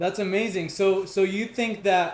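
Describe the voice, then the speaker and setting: Noticeable background noise fills the clip. A man talks with a high pitch and fairly even intonation. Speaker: podcast host. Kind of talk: casual interview chat.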